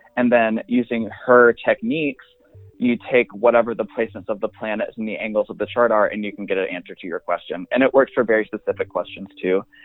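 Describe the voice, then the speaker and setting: Very fast speech from a man, with music in the background. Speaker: astrology Instagram creator and astrologer. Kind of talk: casual interview.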